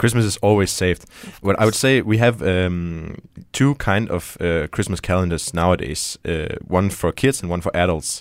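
With a Danish accent, a man speaks at a moderate pace in a very deep, low pitch, on a very clean recording with a silent background. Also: ordinary pitch variation. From Denmark. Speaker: show guest. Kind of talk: casual chat. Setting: studio.

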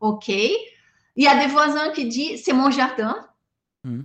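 A woman at a very slow pace, her intonation lively. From southern Brazil. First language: Portuguese (speaking French). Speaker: animal rights activist. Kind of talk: interview. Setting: video call.

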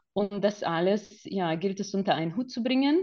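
A woman talks with ordinary pitch variation at a medium pitch, keeping a moderate pace. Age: 40s. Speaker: photographer. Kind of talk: interview.

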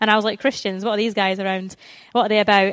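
A woman speaks with a Scottish accent. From Scotland, Stirling. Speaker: Bible school outreach coordinator, evangelist. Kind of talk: church talk on evangelism. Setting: church, speaking to a live audience. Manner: warm, enthusiastic, conversational.

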